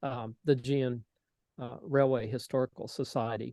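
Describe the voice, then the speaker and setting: A man speaks with an American accent. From Tennessee. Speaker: model railroader, civil engineer. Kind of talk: presentation to society members. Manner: relaxed with frequent fillers.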